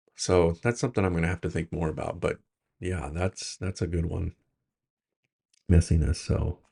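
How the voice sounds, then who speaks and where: Somewhat breathy speech with ordinary pitch variation and long, frequent pauses. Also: man, very deep, low pitch for a man, moderate pace, dry, close sound with no echo. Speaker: self-help video creator. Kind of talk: personal reflective monologue. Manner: hesitant, many fillers.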